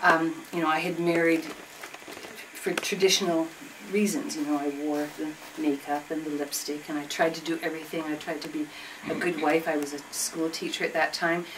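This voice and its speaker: The voice carries a Canadian accent and monotone, flat intonation. Noticeable background noise is present. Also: woman, very deep, low pitch for a woman, moderate pace. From southern Ontario, Canada. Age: 60s. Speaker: retired school teacher and feminist activist. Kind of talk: group discussion, personal testimony. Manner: halting, with many fillers and restarts.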